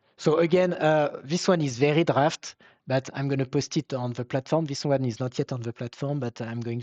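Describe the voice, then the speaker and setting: A man with a French accent at a moderate pace and with ordinary pitch variation, in a dry, close sound with no echo against a quiet background. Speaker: webinar presenter, software company founder. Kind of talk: Q and A answers; webinar presentation. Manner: halting, many fillers.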